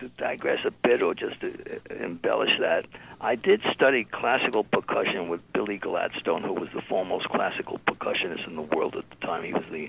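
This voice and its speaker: A man with a New York accent talks at a fairly quick pace, with big swings in loudness. Noticeable background noise is present. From New York City. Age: 80s+. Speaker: music label founder and drummer. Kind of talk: interview. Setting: radio show. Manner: halting.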